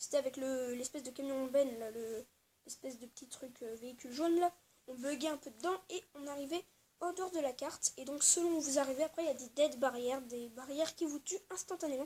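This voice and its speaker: Her pitch sits high, with ordinary variation. The woman's tone is dark and mellow, and her loudness swings widely. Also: fairly quick pace. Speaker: gaming youtuber. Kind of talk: gameplay tutorial. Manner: fast; hesitant, many fillers.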